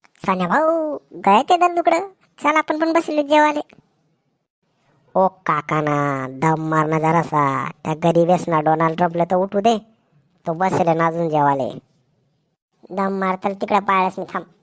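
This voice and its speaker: A woman uses a cartoonish character voice at a medium pitch, swinging very widely in pitch at a fairly slow pace in a dry, close sound with no echo. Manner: loud, rustic, teasing.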